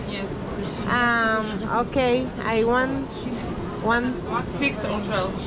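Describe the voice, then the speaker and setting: A woman with a Spanish accent talks at a very slow pace over loud background noise. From Venezuela. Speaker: travel vlogger. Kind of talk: travel vlog. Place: market. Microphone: phone near.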